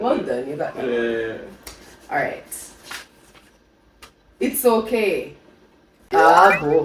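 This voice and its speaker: Long, frequent pauses break up a woman's very slow speech. Underneath, there is noticeable background noise. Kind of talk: casual talk to camera.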